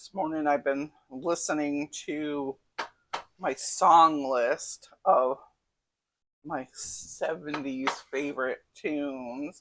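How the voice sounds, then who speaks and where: At a very slow pace, a woman with an American accent speaks at a very deep, low pitch, her loudness swinging widely. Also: fairly even intonation. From US Northeast (Connecticut). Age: 60s. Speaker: cooking channel host. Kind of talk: casual cooking tutorial.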